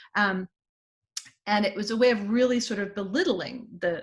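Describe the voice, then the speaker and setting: In a very clean recording with a silent background, a woman talks at a medium pitch with ordinary pitch variation and a somewhat breathy quality. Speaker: academic panelist. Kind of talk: academic presentation. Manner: halting, many fillers.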